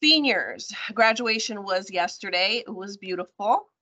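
A woman speaks against a quiet background. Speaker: presenter. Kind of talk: announcements presentation. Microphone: video call.

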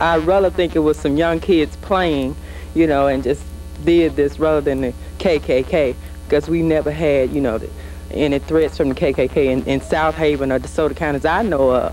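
At a moderate pace, a man talks in a dry sound with no echo while faint music plays in the background. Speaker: interviewee. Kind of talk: interview answer. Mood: calm, dismissive of threat. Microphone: handheld.

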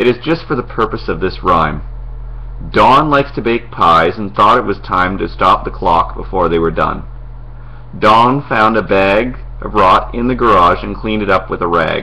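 There's noticeable background noise as a man speaks, keeping his pace moderate. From Lower Mainland, British Columbia, Canada. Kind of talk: dialect sample passage reading.

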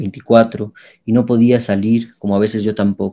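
With a dark, mellow tone, a man at medium pitch talks at a moderate pace using fairly even intonation. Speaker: poet reading own poem. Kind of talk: poetry reading aloud, narrated poem. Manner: intimate, somber, halting with long pauses.

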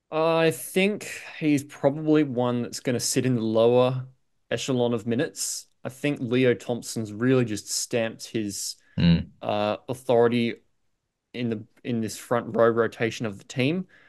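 Over a quiet background, a man speaks at a fairly slow pace. His pitch varies in an ordinary way. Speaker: podcast co-host. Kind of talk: sports fantasy discussion. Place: home room. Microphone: video call.

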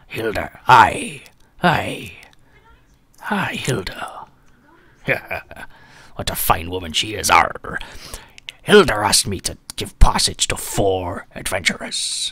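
A man puts on a gruff, growling, raspy character voice. He goes at a very slow pace with long, frequent pauses. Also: medium pitch for a man. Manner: gruff, intimidating, put-on pirate act.

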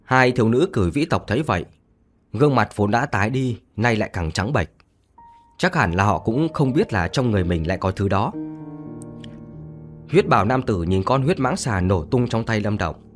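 Clear music plays in the background as a man talks. His pace is moderate, with long, frequent pauses. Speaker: audiobook narrator. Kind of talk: audiobook narration of fantasy novel. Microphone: studio mic.

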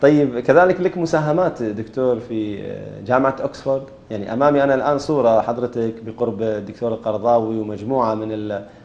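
A man's pitch varies in an ordinary way as he keeps a moderate pace. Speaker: interviewer. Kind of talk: interview. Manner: formal. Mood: calm, friendly. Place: studio. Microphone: lapel.

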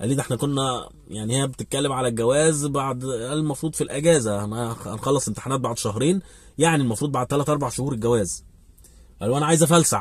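Somewhat breathy, a man speaks at a fairly quick pace with ordinary pitch variation. The sound is dry with no echo, and the background is quiet. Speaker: vlogger giving advice. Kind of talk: casual vlog chat, storytelling. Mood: animated, recounting a conversation. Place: car. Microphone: phone near.

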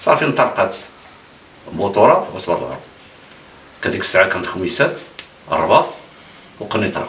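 With light background noise and audible room echo, a man speaks at a moderate pace, leaving long, frequent pauses as his loudness swings widely. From Morocco, Khemisset; Morocco. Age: 60s. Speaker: futsal pioneer and retired teacher; retired teacher. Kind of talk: interview. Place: home room.

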